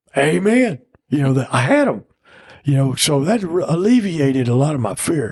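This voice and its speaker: Somewhat breathy, a man with an American accent speaks with lively intonation. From East Texas. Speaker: falconer. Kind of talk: casual interview storytelling. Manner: animated.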